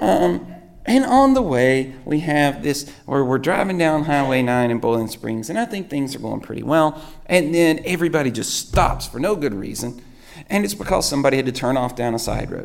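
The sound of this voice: With vocal fry and lively intonation, a man speaks at a moderate pace and a fairly high pitch.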